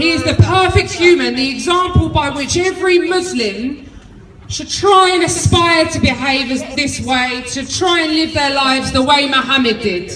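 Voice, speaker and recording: In a room with audible echo and noticeable background noise, a woman with a London accent speaks at a moderate pace, her high voice carrying lively intonation. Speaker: political activist speaker. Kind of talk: rally speech. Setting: outdoor march with crowd. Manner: loud; animated.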